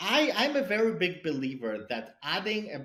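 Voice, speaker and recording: A man with a non-native accent and ordinary pitch variation. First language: not English; English is his third language. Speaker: cybersecurity product leader and angel investor. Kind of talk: podcast interview. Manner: halting, many repetitions and fillers.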